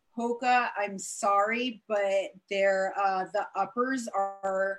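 Over music in the background, a woman speaks at a medium pitch with fairly even intonation. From Germany (raised in military family). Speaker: hiker and trail runner. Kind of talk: presentation over video call. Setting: video call.

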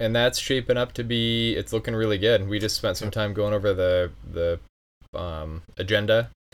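A man speaks in a plain, everyday voice with a fairly low pitch. His intonation is fairly even and his pace moderate. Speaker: podcast host and association vice president. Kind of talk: casual interview conversation.

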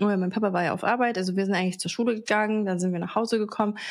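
Her intonation stays fairly even. The woman's pitch sits in the middle range. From Baden-Baden, Germany. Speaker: podcast co-host. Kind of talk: casual chat.

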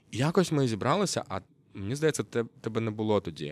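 A man with a Russian accent, lively intonation and a moderate pace. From Kyrgyzstan, Russian-speaking. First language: Russian (speaking Ukrainian). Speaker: journalist. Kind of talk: casual chat. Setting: yurt.

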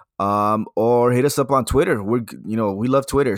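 An unremarkable speaking voice from a man at a medium pitch, moderate in pace with ordinary pitch variation, dry and close with no echo, on a very clean recording with a silent background. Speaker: podcast host. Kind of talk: casual podcast chat about church topics. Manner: casual, friendly.

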